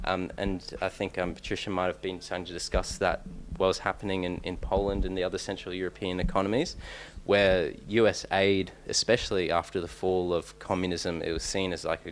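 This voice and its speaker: A man with an Australian accent speaks at a fairly quick pace. His very deep, low pitch holds a flat, monotone intonation. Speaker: PhD researcher, conference speaker. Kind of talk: conference talk. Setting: conference room with audience. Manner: hesitant, many fillers and restarts.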